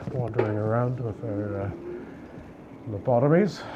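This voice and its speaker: With noticeable background noise and audible room echo, a man speaks at a moderate pace, his medium pitch showing ordinary variation. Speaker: travel vlogger. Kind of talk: walking tour vlog. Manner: whispering.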